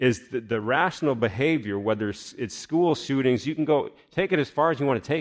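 A man with an unremarkable speaking voice talks at a moderate pace and medium pitch, his intonation lively, in a very clean recording with a silent background. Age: 40s. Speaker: pastor. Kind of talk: sermon. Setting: church.

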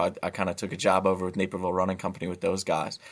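In a very clean recording with a silent background, a man with an American accent speaks in a very deep, low pitch. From US Midwest, central Illinois. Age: 30s. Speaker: sportswear sales manager. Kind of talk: interview.

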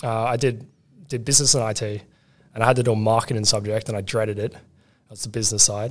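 In an Australian accent, a man talks at a very fast pace and medium pitch. His intonation is monotone and flat, with big swings in loudness. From Australia, western Sydney. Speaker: product manager. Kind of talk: casual chat.

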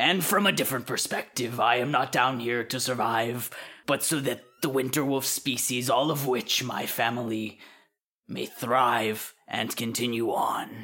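A put-on character voice, growling and raspy, at a low-to-middle pitch and moderate pace, with a menacing tone, in a very clean recording with a silent background. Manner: gruff, menacing.

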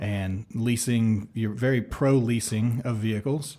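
On a very clean recording with a silent background, a man speaks at medium pitch with ordinary pitch variation in a somewhat breathy voice with a dark, mellow tone. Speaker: podcast host. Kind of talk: casual interview.

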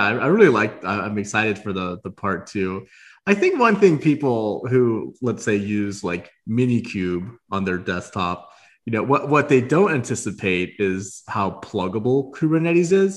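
Against a quiet background, a man in a normal speaking voice talks at a fairly slow pace and medium pitch, his intonation lively. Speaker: podcast host. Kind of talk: interview. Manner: stumbling, repeats words.

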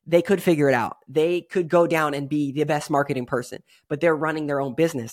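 Over a very clean, silent background, a man talks at a fairly quick pace in a normal speaking voice. His pitch is fairly high and his intonation fairly even. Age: 30s. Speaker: podcast host. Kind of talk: solo podcast monologue.

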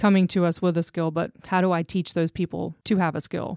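In a very clean recording with a silent background and a dry, close sound with no echo, a woman with an American accent speaks at a fairly quick pace in a fairly low voice. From Jacksonville, Florida. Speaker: staffing business owner. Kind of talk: interview. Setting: studio.

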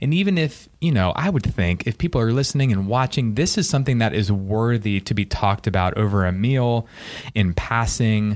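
A man speaks in a normal speaking voice at medium pitch, fairly quickly, with lively intonation and very even loudness. The recording is very clean, with a silent background. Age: 30s. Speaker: church podcast host. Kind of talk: casual chat.

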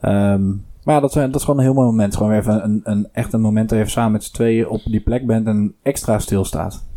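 The voice has a dark, mellow tone and fairly even intonation, running on with hardly any pauses. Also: man. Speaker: podcast host. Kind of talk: casual chat.

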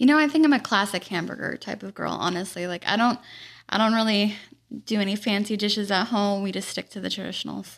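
A woman's very fast speech over a quiet background. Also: medium pitch for a woman, ordinary pitch variation. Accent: American. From California Central Valley, Modesto. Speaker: agricultural advocate, lawyer. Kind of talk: interview. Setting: studio.

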